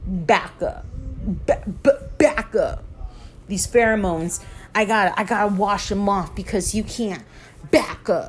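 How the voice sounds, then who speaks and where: Music plays in the background as a woman speaks with ordinary pitch variation. She leaves long, frequent pauses. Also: medium pitch for a woman, fairly slow pace. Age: 30s. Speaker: podcast host. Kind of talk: casual solo monologue.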